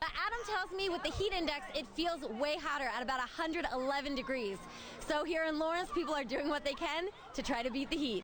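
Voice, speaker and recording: A woman talks at a fairly quick pace with lively intonation. Her loudness stays very even throughout. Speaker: TV news reporter and anchor. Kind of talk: news anchor read.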